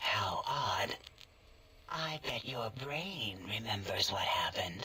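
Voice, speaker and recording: Using a put-on character voice, a man delivers his lines fairly slowly. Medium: machinima. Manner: clinical, eerily gentle.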